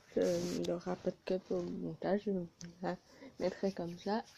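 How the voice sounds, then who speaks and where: This woman talks at a very slow pace in a dark, mellow tone that is somewhat breathy. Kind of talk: improvised casual reaction video to camera. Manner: hesitant, with pauses.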